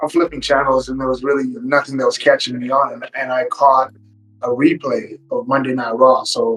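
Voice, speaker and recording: The speech moves at a moderate pace with big swings in loudness while music plays in the background. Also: man. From Kenya, then Canada from age 12. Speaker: professional wrestler. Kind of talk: podcast interview. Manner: casual, many fillers and repetitions.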